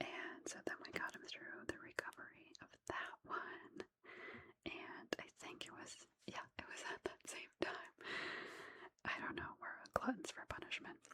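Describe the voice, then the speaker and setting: A woman's relaxed whispering, fairly slow, with big swings in loudness. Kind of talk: casual ASMR storytime to camera. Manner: soft-spoken; relaxed, casual.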